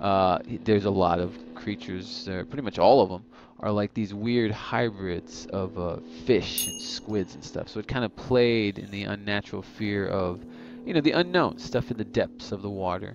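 A man speaks at a moderate pace and a fairly low pitch, with ordinary pitch variation and big swings in loudness. The sound is dry with no echo, and faint music plays in the background. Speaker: gamer. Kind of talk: gameplay commentary.

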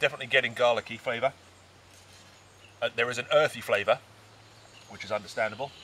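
The voice has a bright, sharp tone and fairly even intonation at a fast pace. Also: man, medium pitch for a man.

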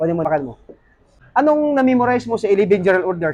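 A man's high voice at a very fast pace, with very wide pitch swings. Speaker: vlogger and police officer giving shoes to guards. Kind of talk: vlog street interview. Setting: inside a shopping mall.

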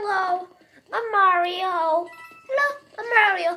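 In a put-on character voice, a woman speaks at an extremely high pitch over light background noise. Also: fairly slow pace.

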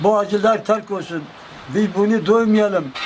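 Noticeable background noise accompanies a man with a high pitch. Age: 80s+. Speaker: villager, kaval player. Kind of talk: interview answer, prayer-like appeal.

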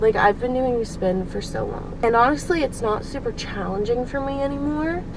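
The speech moves at a moderate pace with ordinary pitch variation. The sound is dry with no echo, but noticeable background noise is present. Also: woman. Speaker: vlogger. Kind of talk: casual vlog chat. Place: car. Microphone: phone near.

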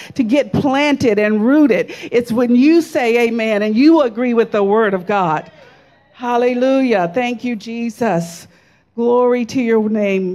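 A woman's dark, mellow tone with ordinary pitch variation. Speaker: preacher. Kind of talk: sermon. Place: church. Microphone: handheld.

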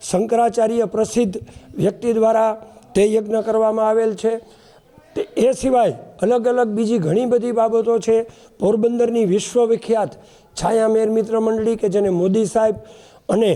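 Over noticeable background noise, a man speaks at a high pitch. His loudness is very even and his intonation monotone and flat. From Porbandar area, Gujarat. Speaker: village resident, event organizer. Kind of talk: media interview announcement.

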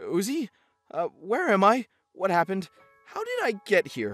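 Over faint background music, a man does a put-on character voice at a fairly slow pace, high in pitch and fairly bright, with very wide pitch swings.

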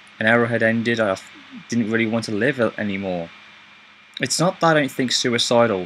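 Light background noise sits behind a man speaking with a British accent. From Britain. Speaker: YouTuber. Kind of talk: personal video update. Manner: halting. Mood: subdued, grateful. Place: home room. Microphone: webcam.

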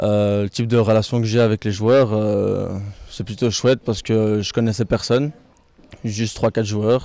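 A dark, mellow voice with monotone, flat intonation moves at a fairly slow pace in a dry sound with no echo. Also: man, fairly low pitch for a man. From Belgium. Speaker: football player. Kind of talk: post-match style interview. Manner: halting, many hesitations. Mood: calm, proud. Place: garden. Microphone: handheld.

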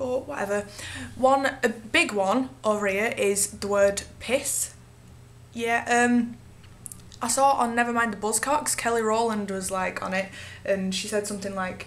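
This woman has a Manchester accent and a fairly high pitch. She speaks at a fairly slow pace with ordinary pitch variation. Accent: Northern English (Manchester area). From Northern England. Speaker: vlogger and singer-songwriter. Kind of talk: casual talk to camera. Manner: casual, sarcastic. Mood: playful, giggly. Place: home room. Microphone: webcam.

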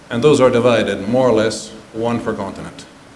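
Fairly low-pitched, moderate-paced speech from a man with fairly even intonation, audible room echo and light background noise. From southern Italy. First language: Italian. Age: 60s. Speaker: ambassador; keynote speaker. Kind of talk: conference speech. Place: hall. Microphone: podium.

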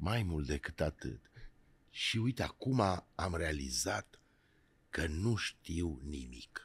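A man's very deep, low voice with vocal fry and very wide pitch swings, very slow and broken by long, frequent pauses. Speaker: podcast host, actor. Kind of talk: interview.

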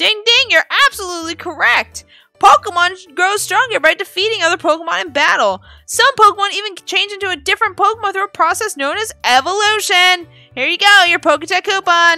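A put-on character voice, raised and projected, at a fairly quick pace. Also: woman, extremely high pitch for a woman. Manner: annoying, exaggerated, cheerful.

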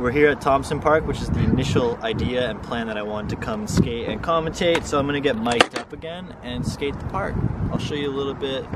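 A man talks at a fairly quick pace with hardly any pauses and ordinary pitch variation. The sound is dry with no echo, though loud background noise runs underneath. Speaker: skateboarder vlogger. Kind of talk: casual vlog chat. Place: street. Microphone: lapel.

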